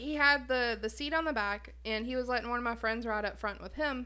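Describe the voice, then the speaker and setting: A woman talks at a fairly quick pace in a Southern US accent. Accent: Southern US, fairly thick. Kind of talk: casual chat.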